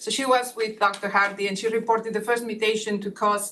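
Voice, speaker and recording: A woman in a Catalan accent, bright and sharp in tone, at a fairly quick pace with fairly even intonation. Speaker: neuroscientist on advisory task force. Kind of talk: speaker introductions at online meeting. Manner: halting, many fillers.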